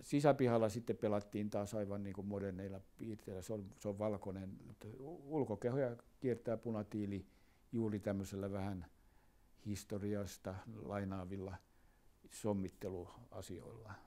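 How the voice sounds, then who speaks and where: A man's fairly low, dark, mellow voice with fairly even intonation at a fairly slow pace. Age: 80s. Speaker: architect. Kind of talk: interview answer, reflective talk about his work. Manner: conversational, hesitant with frequent filler words.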